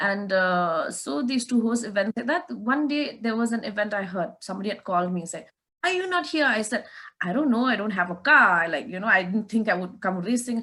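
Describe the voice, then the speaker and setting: In a northeastern Indian accent, a woman speaks fairly quickly with lively intonation and fairly high pitch. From Meghalaya, India (Shillong, Khasi). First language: Khasi. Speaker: race car driver. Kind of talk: interview.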